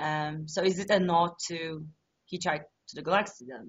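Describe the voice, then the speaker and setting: A woman with a fairly low voice speaks somewhat slowly, her pitch moving in an ordinary way. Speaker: interviewer. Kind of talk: interview. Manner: loud; animated.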